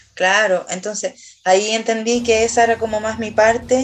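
A woman with a Chilean accent speaks fairly slowly in a fairly high pitch. Her intonation is monotone and flat, and there is noticeable background noise. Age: 30s. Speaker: singer and songwriter. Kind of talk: casual chat.

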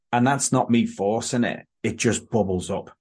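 A man with an English accent speaks at a moderate pace with ordinary pitch variation against a quiet background. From England. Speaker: podcast host. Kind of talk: casual chat.

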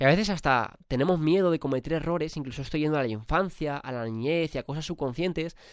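A man talks fast with a fairly high pitch. His tone is clear and smooth, and his pitch shows ordinary variation.

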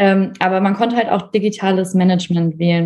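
A somewhat breathy quality runs through the voice. Its intonation remains fairly even. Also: woman. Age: 20s. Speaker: university student and working student. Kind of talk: casual interview chat.

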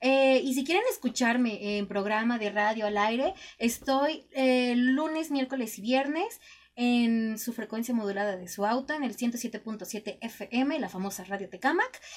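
At a fairly slow pace, a woman speaks at a high pitch with ordinary pitch variation. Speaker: radio host. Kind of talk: casual chat.

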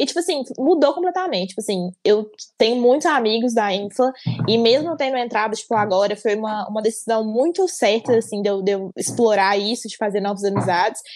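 Using an unremarkable speaking voice, a woman with a fairly high pitch and lively intonation talks at a fairly quick pace. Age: 20s. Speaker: podcast co-host, psychology student. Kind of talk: casual chat.

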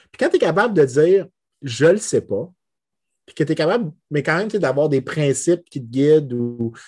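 In a quiet background, a man speaks with a fairly high pitch and a dark, mellow tone. He sounds somewhat breathy. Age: 30s. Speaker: economics lecturer. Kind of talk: casual chat.

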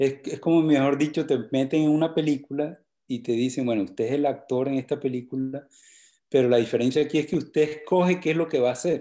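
On a very clean recording with a silent background, a man talks in a normal speaking voice. His pitch is fairly high, his pace fairly quick and his intonation fairly even. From Colombia, Valledupar (Cesar). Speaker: vallenato songwriter. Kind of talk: casual chat.

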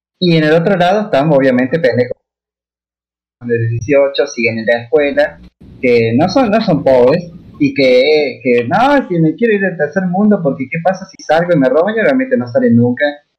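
His pitch swings very widely, sitting fairly high for a man. The man keeps a moderate pace. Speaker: podcast guest. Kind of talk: casual chat.

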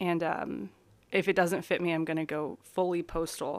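The pace is moderate. The recording is very clean and the background is silent. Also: woman. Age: 20s. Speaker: podcast host. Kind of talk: casual solo monologue. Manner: halting, many fillers.

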